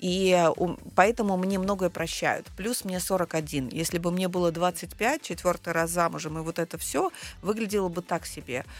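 In an animated tone, a woman with a fairly low pitch and ordinary pitch variation speaks at a fairly slow pace on a very clean recording with a silent background. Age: 40s. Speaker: personal brand coach and psychologist. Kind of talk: interview. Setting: studio.

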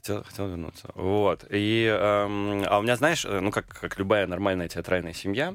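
A man with a fairly low pitch talks at a moderate pace with hardly any pauses and ordinary pitch variation, in an ordinary speaking voice. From Moscow region, Russia. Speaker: film and theatre director. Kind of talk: radio interview.

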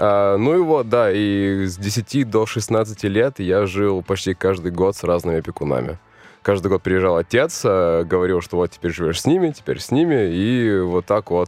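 A man with a normal speaking voice talks at a moderate pace with a fairly low pitch and ordinary pitch variation. The sound is dry and close with no echo, over a quiet background. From New Zealand (born in Russian Far East). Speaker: interview guest, expat returnee. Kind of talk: interview.

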